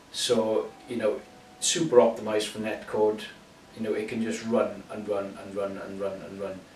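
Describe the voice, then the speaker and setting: Intonation stays fairly even while loudness swings widely over noticeable background noise. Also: man, fairly low pitch for a man. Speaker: long-time gamer. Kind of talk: unscripted casual talk to camera. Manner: slow.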